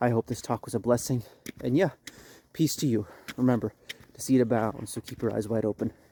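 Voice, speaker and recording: Talking at a very fast pace, a man with medium pitch and a dark, mellow tone uses fairly even intonation in a dry, close sound with no echo. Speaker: religious video host. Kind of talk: religious talk. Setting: outdoors, walking uphill.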